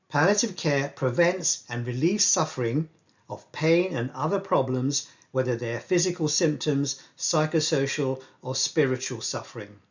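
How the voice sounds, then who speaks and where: A man speaks with an English accent at a moderate pace. His fairly high pitch varies in an ordinary way and sounds somewhat breathy. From England. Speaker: palliative care doctor. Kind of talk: lecture.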